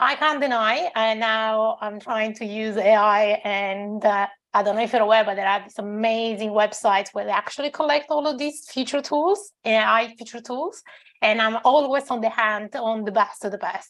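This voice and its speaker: A woman speaks with a non-native accent at a fairly high pitch. She keeps a moderate pace and ordinary pitch variation. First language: not English. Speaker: tech company founder. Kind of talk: panel discussion.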